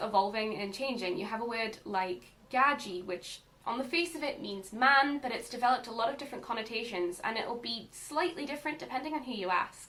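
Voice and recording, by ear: A woman with a north-east English accent speaks at a fairly quick pace, her pitch fairly high and her tone fairly bright, with ordinary pitch variation and audible room echo. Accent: mild Northumbrian, north-east English.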